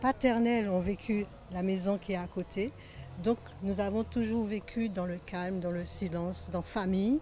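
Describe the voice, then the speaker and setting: Speaking fairly slowly in a normal speaking voice, a woman keeps her pitch in the medium range, with ordinary variation. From Martinique, Le Carbet. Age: 60s. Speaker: local resident. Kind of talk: documentary interview.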